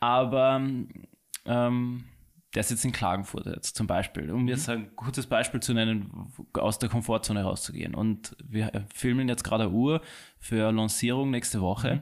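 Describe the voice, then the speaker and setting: A man with an ordinary speaking voice at medium pitch and moderate pace, with ordinary pitch variation, on a very clean recording with a silent background. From Hong Kong, then Austria from 2000. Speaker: watch and bracelet businessman. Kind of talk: interview. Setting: studio.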